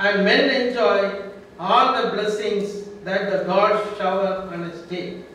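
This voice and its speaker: A man's high voice at a fairly slow pace, with strong room echo. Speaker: introducer at a public lecture. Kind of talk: formal introductory speech. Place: hall.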